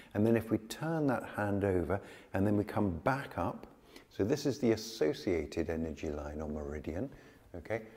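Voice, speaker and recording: A man's fairly low-pitched voice at a moderate pace, dark and mellow in tone. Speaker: yoga teacher. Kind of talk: tutorial. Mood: calm, gentle. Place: studio. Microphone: lapel.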